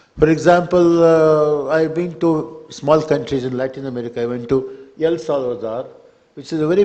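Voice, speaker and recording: In a Kannada accent, a man talks at a moderate pace with a fairly high pitch and ordinary pitch variation. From Karnataka, India. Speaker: poet on festival panel. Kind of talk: panel discussion. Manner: halting, many fillers.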